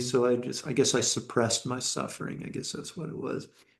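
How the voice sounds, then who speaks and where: Moving at a fairly quick pace, a man speaks at a medium pitch. It is a plain, everyday voice. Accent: American. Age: 60s. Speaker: meditation teacher. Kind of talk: dharma talk.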